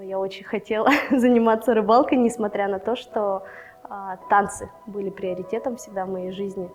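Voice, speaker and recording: Music plays in the background while the voice moves at a moderate pace with fairly even intonation. Its loudness swings widely. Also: woman, medium pitch for a woman. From Russia, Novosibirsk. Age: 20s. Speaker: angler, former ballroom dancer. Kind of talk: interview monologue.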